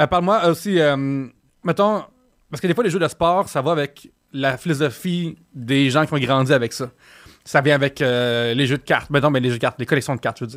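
Delivered at a fairly quick pace with ordinary pitch variation, the speech comes through on a very clean recording with a silent background. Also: man, fairly high pitch for a man. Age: 30s. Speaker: podcast host. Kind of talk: casual chat. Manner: animated.

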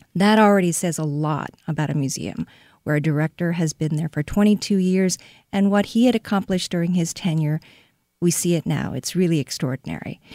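A woman with a Korean accent, fairly low in pitch with ordinary pitch variation, a dark, mellow tone and a fairly quick pace, in a dry, close sound with no echo on a very clean recording against a silent background. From South Korea (Seoul). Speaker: art museum director. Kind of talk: interview. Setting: radio studio.

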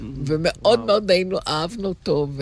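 A woman's medium-pitched voice with vocal fry. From Israel, Tel Aviv. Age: 80s+. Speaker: retired teacher. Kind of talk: casual chat.

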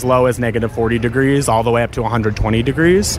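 Noticeable background noise behind a man's fairly quick delivery. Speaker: agtech company marketer. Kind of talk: interview.

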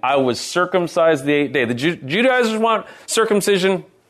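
An animated voice in a Californian accent, swinging very widely in pitch. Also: man. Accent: General American (California). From San Francisco Bay Area, California. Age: 50s. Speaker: pastor. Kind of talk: sermon. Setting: church.

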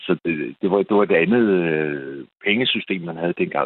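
A man talks at a very slow pace. His pitch is very deep and low, with ordinary pitch variation. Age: 60s. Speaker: caller. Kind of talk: phone-in call.

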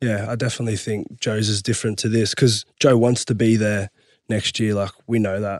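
A man speaks with an Australian accent at medium pitch. His pace is moderate, and the background is quiet. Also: dry, close sound with no echo. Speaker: rugby league player. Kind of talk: casual sports chat.

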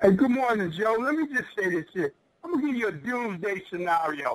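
A man speaks at a very fast pace with a Philadelphia accent. His voice is high-pitched and his intonation is lively. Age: 50s. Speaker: radio caller, sports fan. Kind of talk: call-in sports talk.

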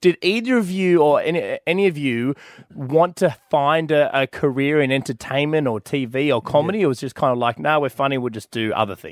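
Fairly quick and fairly high-pitched, a man with an unremarkable speaking voice uses lively intonation on a very clean recording with a silent background and a dry, close sound with no echo. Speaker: podcast host. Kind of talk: casual banter. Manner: joking, playful.

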